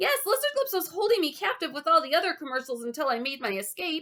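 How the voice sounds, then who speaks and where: An extremely high, squeaky put-on character voice races at a very fast pace. Its pitch swings very widely. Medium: read story. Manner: giggly, timid.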